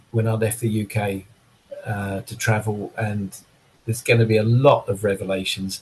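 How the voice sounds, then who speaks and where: At a moderate pace, this man speaks in a fairly low, flat monotone. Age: 60s. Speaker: drummer. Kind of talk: casual chat.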